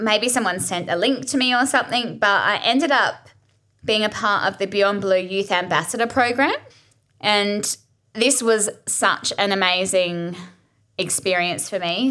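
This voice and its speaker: A woman's fairly high, bright, sharp voice in an Australian accent, with lively intonation at a moderate pace. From Australia, Adelaide. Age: 30s. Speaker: podcast host. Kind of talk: casual monologue. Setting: home kitchen.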